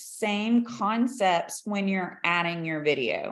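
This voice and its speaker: The pace is very slow. A woman talks with lively intonation. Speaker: business consultant and trainer. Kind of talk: training presentation.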